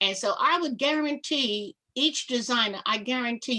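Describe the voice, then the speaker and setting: A loud woman with an American accent, an animated tone, lively intonation and a bright, sharp tone. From New York (Harlem). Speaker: fashion show producer. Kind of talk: interview.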